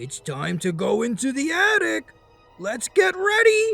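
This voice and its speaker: At a fairly slow pace, someone speaks in a put-on character voice with faint music in the background. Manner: funny, playful.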